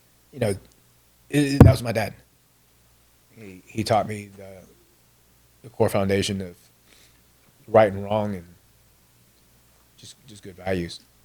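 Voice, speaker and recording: Over noticeable background noise, a man with a fairly low pitch speaks at a fairly slow pace with fairly even intonation, long, frequent pauses and big swings in loudness. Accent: Texan. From Houston, Texas (born in Vietnam, moved as a child in 1975). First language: Vietnamese. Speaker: military veteran. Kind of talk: interview.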